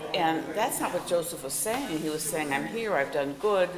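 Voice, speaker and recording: This woman's voice sits fairly low, and she speaks at a moderate pace. The room echo is audible, and there is noticeable background noise. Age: 80s+. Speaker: retired critical care nurse, class participant. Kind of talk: casual chat.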